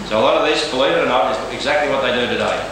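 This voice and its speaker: Words rush out at a very fast pace over noticeable background noise, with strong echo filling the room. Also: man. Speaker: lecturer in medieval costume. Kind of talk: lecture. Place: hall. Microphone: old recording.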